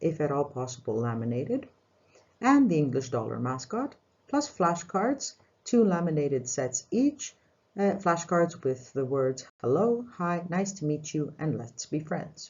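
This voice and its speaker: A somewhat breathy voice moves at a moderate pace with very wide pitch swings. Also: woman. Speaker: English teacher. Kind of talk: tutorial. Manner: formal.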